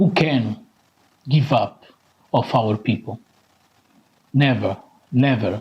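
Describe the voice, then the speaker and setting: Medium male pitch, somewhat breathy, with ordinary pitch variation, a very slow pace and long, frequent pauses. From Portugal. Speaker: Roma activist. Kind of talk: conference speech.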